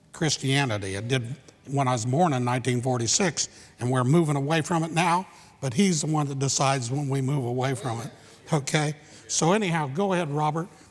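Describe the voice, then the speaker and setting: A somewhat breathy man talks at a fairly quick pace, his fairly high pitch showing ordinary variation. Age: 70s. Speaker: church member presenting a mission trip. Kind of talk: slideshow presentation to a church congregation. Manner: fast; conversational, folksy.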